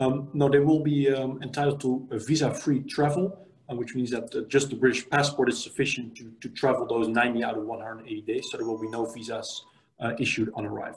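Man with a Dutch accent, fairly quick pace, fairly even intonation, somewhat breathy, big swings in loudness. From Netherlands. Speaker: immigration lawyer. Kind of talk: interview. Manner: halting. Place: home room. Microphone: video call.

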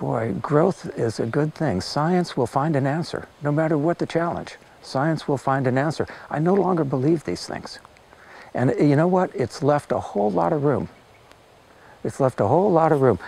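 A man with an American accent and a dark, mellow tone speaks at a fairly high pitch and a moderate pace with lively intonation, in a dry sound with no echo and light background noise. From US West Coast, Los Angeles. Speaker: natural farming teacher and translator; interviewee. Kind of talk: interview. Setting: filmed interview. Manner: reflective, with hesitations. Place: forest. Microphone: lapel.

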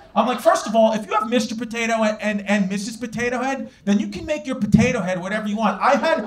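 A man at a very fast pace with hardly any pauses and ordinary pitch variation. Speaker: stand-up comedian. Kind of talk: stand-up comedy routine.

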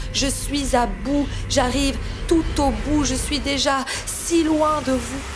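Over background music, a woman talks at a very slow pace in a high voice with monotone, flat intonation. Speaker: slam poet. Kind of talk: spoken word poetry.

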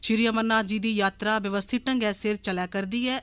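This is a woman speaking. Her pitch is fairly high. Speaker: radio newsreader. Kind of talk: formal radio news bulletin reading. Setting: radio studio. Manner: formal. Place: studio.

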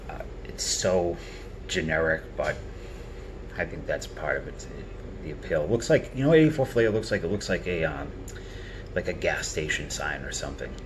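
Clear background noise accompanies speech delivered at a medium tempo. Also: man. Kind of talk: casual commentary. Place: home room.

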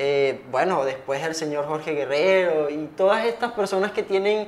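A man talks in a high pitch. His pitch varies in an ordinary way. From Venezuela. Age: young. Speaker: podcast host. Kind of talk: interview. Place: studio. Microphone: lapel.

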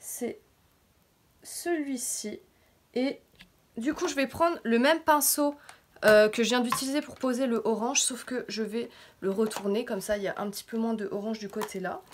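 A woman with a fairly high pitch and lively intonation speaks at a moderate pace, pausing long and often, over light background noise. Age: 20s. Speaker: beauty YouTuber. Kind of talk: casual makeup tutorial talk to camera. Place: home room. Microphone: phone near.

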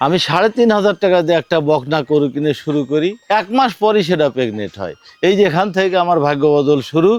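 A man's high-pitched voice with lively intonation. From Sirajganj, northern Bangladesh. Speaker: farmer. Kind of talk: interview testimony.

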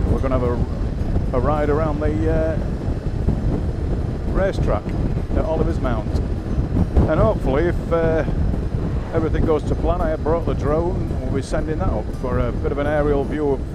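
Over loud background noise, the speaker goes at a moderate pace with long, frequent pauses, and the sound is dry with no echo. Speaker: motorcycle rider vlogger. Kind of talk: casual vlog commentary. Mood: relaxed, cheerful. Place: motorbike. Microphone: helmet.

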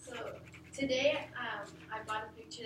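Over noticeable background noise and audible room echo, a woman talks at a moderate pace. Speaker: presenter. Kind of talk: class presentation. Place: classroom. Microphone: camera far.

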